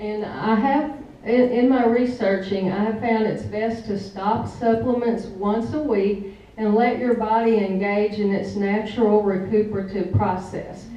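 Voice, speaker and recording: Fairly slow, fairly even speech from a woman with a Southern US accent and a fairly high pitch, with audible room echo and noticeable background noise. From US South, Blytheville, Arkansas. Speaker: essential oils product user giving a talk. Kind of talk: presentation to an audience.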